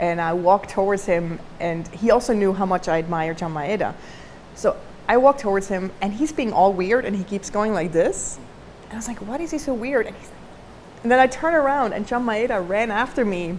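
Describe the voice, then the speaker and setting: At a fairly quick pace, a woman speaks at a medium pitch with a non-native accent. Her intonation is lively, and her loudness swings a lot. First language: not English. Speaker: designer and entrepreneur. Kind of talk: talk to camera. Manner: casual, with many fillers.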